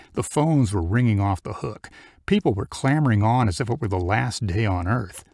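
Someone is reading aloud in a natural voice, and the intonation rises and falls in a lively way.

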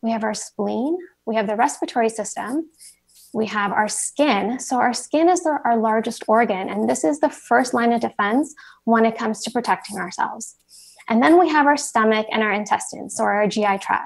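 Over a quiet background, a woman speaks at a moderate pace with lively intonation. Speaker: presenter. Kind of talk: lecture. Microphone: video call.

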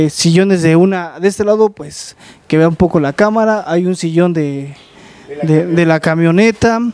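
A man speaks at a moderate pace with a high pitch. His intonation stays fairly even, and the sound is dry with no echo. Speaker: YouTube channel host. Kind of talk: casual interview. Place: garage. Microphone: handheld.

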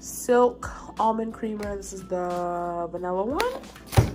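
With clear music in the background, a woman speaks at a very slow pace with ordinary pitch variation. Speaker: vlogger. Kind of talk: casual vlog chat. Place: home room. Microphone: phone near.

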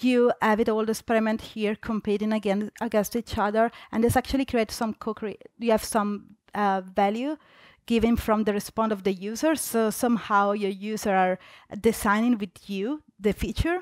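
Speaking at a moderate pace with an Italian accent, a woman's fairly high voice keeps a fairly even intonation over a quiet background, the sound dry with no echo. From Italy. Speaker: UX designer; conference presenter. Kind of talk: conference talk. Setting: stage with audience. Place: hall.

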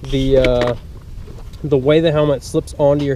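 A man's very fast voice, fairly even in intonation, dry with no echo, over light background noise. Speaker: motorcycle vlogger. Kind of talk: casual vlog chat. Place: open country. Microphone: phone near.

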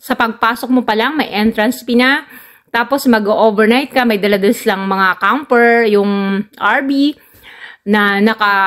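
At a fairly slow pace, a woman talks in a fairly high pitch with ordinary variation against a quiet background. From Philippines. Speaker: travel vlogger. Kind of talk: vlog narration. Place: farm machine. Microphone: phone near.

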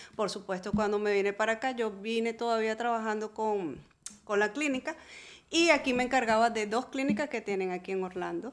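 In an ordinary speaking voice, a woman talks at a fairly quick pace and a fairly high pitch with ordinary pitch variation, recorded very cleanly against a silent background. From Venezuela. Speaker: real estate broker. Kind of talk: interview.

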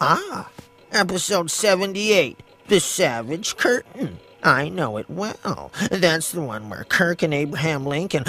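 A cartoonish character voice from a man, high in pitch, at a fairly slow pace, with faint music in the background. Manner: pompous, pedantic, gloating.

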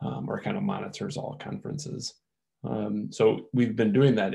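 Against a quiet background, a man speaks in a dark, mellow tone with vocal fry. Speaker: working group member, open-source community. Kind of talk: work meeting discussion. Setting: video call. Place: home room. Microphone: video call.

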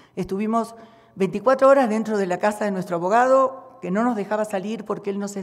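A woman speaks at a moderate pace, her pitch varying in an ordinary way, against a quiet background. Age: 60s. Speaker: witness, sister of attack victim. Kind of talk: testimony. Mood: earnest, aggrieved. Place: hall. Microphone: podium.

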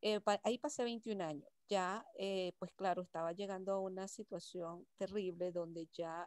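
At a fairly slow pace, a woman speaks at medium pitch with ordinary pitch variation, in a dry sound with no echo and a quiet background. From Venezuela. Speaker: workshop participant. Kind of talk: personal testimony. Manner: halting. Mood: reflective, grateful. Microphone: video call.

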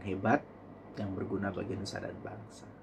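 Through noticeable background noise, a man speaks in a fairly low, somewhat breathy voice. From East Java, Indonesia (Blitar); East Java, Indonesia. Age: 30s. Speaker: vlogger. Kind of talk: personal vlog monologue. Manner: halting, with frequent fillers. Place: home room. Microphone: phone near.

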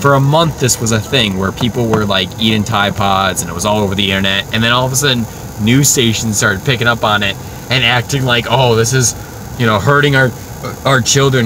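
Over noticeable background noise, a man talks at a fairly quick pace with ordinary pitch variation and a dry sound with no echo. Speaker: guest. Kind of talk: casual podcast chat. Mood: exasperated, ranting. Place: car.

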